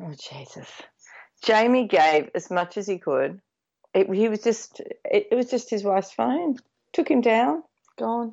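Speaking in an Australian accent at a fairly slow pace, this voice leaves long, frequent pauses. Its loudness swings a lot, and its pitch swings very widely. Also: woman, fairly high pitch for a woman. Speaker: podcast co-host. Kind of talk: casual chat. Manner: animated.

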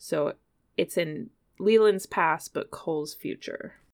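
A woman's fairly low voice with vocal fry, on a very clean recording with a silent background. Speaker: podcast host. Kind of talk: casual chat about pop culture.

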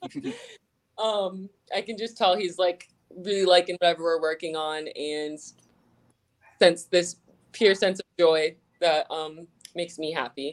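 With an American accent, this speaker talks at a fairly slow pace with ordinary pitch variation, big swings in loudness, and long, frequent pauses. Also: woman, fairly low pitch for a woman. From South Florida (Fort Lauderdale). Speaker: singer in a band. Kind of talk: interview.

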